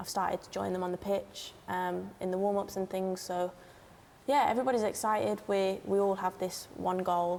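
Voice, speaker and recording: A woman talks at a moderate pace in an unremarkable speaking voice. Her pitch is medium, and her intonation is fairly even. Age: young. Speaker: footballer. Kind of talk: interview.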